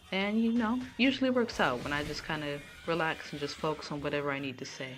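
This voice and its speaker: Over music in the background and audible room echo, a woman with a very deep, low pitch talks at a very fast pace. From California, Sacramento. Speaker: gaming streamer. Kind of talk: live stream gameplay commentary. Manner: casual, sometimes stumbling over words.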